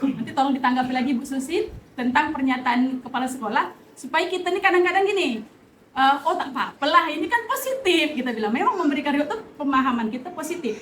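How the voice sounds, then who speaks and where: A woman's high-pitched, very fast speech with lively intonation and audible room echo. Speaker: teacher. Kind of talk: staff meeting discussion.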